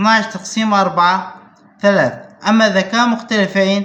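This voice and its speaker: A man with a Syrian accent speaks in a high pitch at a fairly slow pace. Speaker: math teacher. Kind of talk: math lesson to camera.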